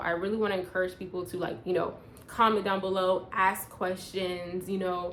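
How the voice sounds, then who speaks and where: A woman of medium pitch speaks at a moderate pace. Audible room echo can be heard. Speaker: personal growth vlogger. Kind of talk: casual vlog monologue.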